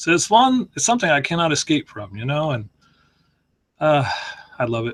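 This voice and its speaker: A man with a fairly high, somewhat breathy voice talks at a fairly quick pace with very wide pitch swings and long, frequent pauses, in a dry, close sound with no echo. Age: old. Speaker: organic farmer and online investor. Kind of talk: casual chat. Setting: video call.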